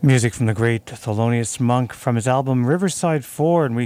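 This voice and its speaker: This is a man with an unremarkable speaking voice at medium pitch and ordinary pitch variation. The recording is very clean, with a silent background. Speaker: community radio jazz host. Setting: radio studio. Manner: warm, upbeat, informal.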